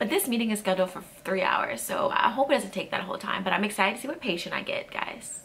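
A very fast pace with hardly any pauses over light background noise. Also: woman. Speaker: nursing student vlogger. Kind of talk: casual vlog. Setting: home video blog. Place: home room. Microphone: phone near.

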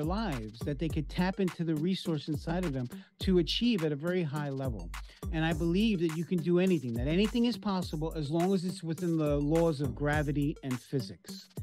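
A man's voice at a fairly quick pace with ordinary pitch variation, faint music in the background. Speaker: life coach. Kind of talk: interview answer. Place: office. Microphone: webcam.

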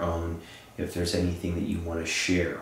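Amid light background noise and audible room echo, a man speaks with a very deep, low pitch. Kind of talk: spoken address to spirits. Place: home room.

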